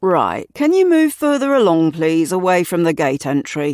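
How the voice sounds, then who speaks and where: In a very clean recording with a silent background, a put-on character voice at a middle pitch moves along at a moderate pace. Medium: read story. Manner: brusque, official, pulling rank.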